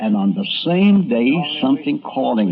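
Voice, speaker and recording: Music in the background under a man's fairly high pitch and very wide pitch swings. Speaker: radio and TV columnist. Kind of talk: documentary narration.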